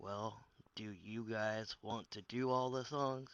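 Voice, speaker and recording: A man puts on a character voice at medium pitch. He talks at a fairly slow pace. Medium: read story.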